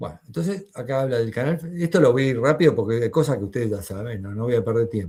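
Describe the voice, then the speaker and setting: Somewhat breathy with a dark, mellow tone, a man races at a very fast pace with lively intonation and hardly any pauses. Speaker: university lecturer. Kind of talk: lecture. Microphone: video call.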